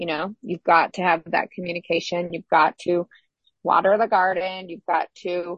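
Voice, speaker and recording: At a moderate pace, a woman speaks in an ordinary speaking voice with a fairly low pitch. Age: 50s. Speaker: relationship podcast co-host. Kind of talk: casual chat.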